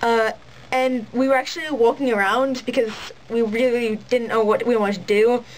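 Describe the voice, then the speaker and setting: With fairly even intonation, a woman speaks at a fairly high pitch against noticeable background noise. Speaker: cosplayer. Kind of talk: casual vlog talk to camera. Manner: ranty, fast.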